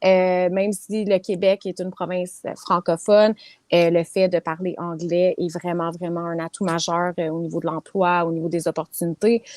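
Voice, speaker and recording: A woman's fairly low voice with an English accent, monotone and flat, at a moderate pace, in a very clean recording with a silent background and a dry, close sound with no echo. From Quebec. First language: English (speaking French). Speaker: property management business owner. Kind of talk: interview.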